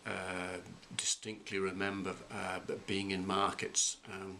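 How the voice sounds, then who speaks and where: Slowly, at a fairly slow pace, a man speaks with a very deep, low pitch and a bright, sharp tone. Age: 50s. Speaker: college president. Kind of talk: interview. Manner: halting.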